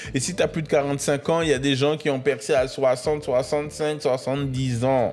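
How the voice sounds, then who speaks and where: A man's animated tone comes through at a fairly high pitch. He keeps a moderate pace with hardly any pauses. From Paris region, France (Créteil). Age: 20s. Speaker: podcast host. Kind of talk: motivational monologue. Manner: animated, casual slang.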